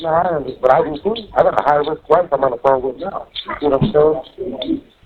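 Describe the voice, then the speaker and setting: A man speaks at a fairly quick pace and ordinary pitch variation amid noticeable background noise. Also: fairly high pitch for a man. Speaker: jail inmate. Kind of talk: phone call. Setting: jail phone call. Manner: loud. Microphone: muffled jail phone line.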